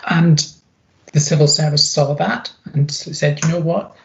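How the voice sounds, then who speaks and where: Speaking at a moderate pace in a Scottish accent, a woman has a very deep, low pitch and fairly even intonation. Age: 50s. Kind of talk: interview.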